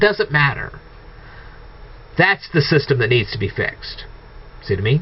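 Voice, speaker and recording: This is a man speaking. His pitch is fairly high. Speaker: video blogger. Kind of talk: monologue rant to viewers. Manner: halting, self-correcting.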